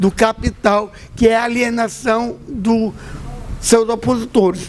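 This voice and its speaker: A man's high-pitched voice at a very slow pace, over noticeable background noise. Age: 60s. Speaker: Afro-Brazilian religious leader. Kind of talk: panel talk. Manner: impassioned.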